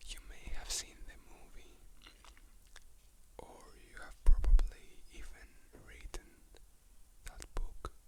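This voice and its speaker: Very slow whispering broken by long, frequent pauses. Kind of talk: casual talk to camera. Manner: whispered.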